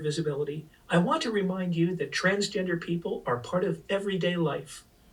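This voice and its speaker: A woman with an American accent talks at a fairly quick pace over noticeable background noise. Her pitch is fairly low, with ordinary variation. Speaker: subway announcer voice. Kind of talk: public transit announcement.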